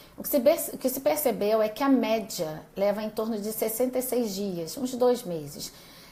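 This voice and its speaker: With hardly any pauses, a woman with a fairly high pitch talks at a moderate pace with lively intonation, and room echo is audible. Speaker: doctor giving a live class. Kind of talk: live-stream lecture. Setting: live video stream.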